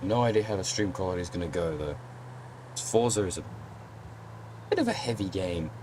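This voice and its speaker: A man speaks with ordinary pitch variation and long, frequent pauses over noticeable background noise. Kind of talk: casual gaming livestream talk.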